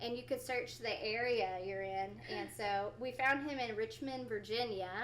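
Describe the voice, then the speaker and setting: A woman's fairly high voice in an American accent, moderate in pace with ordinary pitch variation, with audible room echo and noticeable background noise. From Oklahoma. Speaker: fisherman's wife, podcast guest. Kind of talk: casual interview chat.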